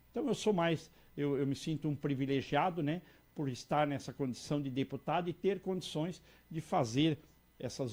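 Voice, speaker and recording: A man talks in an unremarkable speaking voice at a moderate pace. His pitch is fairly high, with ordinary variation. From Santa Catarina, Brazil. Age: 60s. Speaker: politician. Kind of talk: interview. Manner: repetitive false starts.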